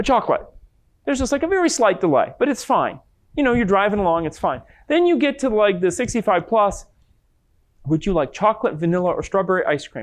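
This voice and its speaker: A man's high-pitched voice with very wide pitch swings and long, frequent pauses, over a quiet background. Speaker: lecturer and researcher. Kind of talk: lecture. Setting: stage with audience.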